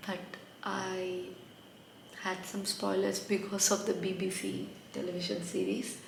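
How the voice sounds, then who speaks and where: A woman with a non-native accent is heard amid noticeable background noise and audible room echo. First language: not English. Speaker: book reviewer. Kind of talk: casual book review vlog.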